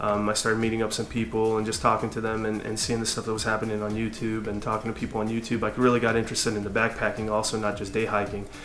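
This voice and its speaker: A man with a Californian accent talks at a very fast pace with hardly any pauses, his fairly low voice in a monotone, flat intonation. Audible room echo and noticeable background noise fill the recording. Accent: Californian American English. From US, Southern California. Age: 30s. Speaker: hiking vlogger. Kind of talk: casual vlog monologue. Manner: halting with many fillers.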